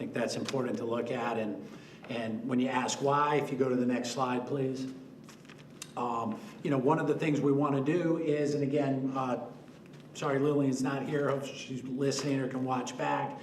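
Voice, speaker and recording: With monotone, flat intonation, a man speaks at a moderate pace and medium pitch. The recording has audible room echo and noticeable background noise. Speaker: developer presenting to city council. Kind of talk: public presentation at council meeting. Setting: council chamber meeting.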